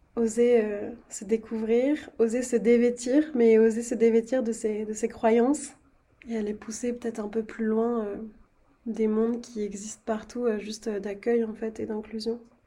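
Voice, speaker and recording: A woman's somewhat breathy voice, fairly high in pitch yet dark and mellow in tone, at a fairly slow pace with monotone, flat intonation. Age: 20s. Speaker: podcast host. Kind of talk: casual interview conversation.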